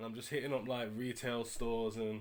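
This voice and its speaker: A British accent with fairly even intonation, at a moderate pace. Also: man. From UK. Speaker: eBay reseller vlogger. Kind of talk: casual vlog. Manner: casual, slang-heavy.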